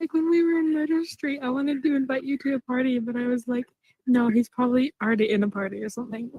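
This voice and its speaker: The speech runs at a very fast pace. Its pitch variation is ordinary. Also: woman, high pitch for a woman. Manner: calm, like a radio presenter.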